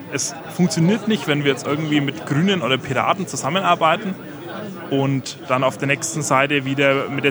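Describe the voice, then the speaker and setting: The speaker is a man talking at a moderate pace. Noticeable noise sits in the background. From Franconia, Germany. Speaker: community network volunteer. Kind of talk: interview.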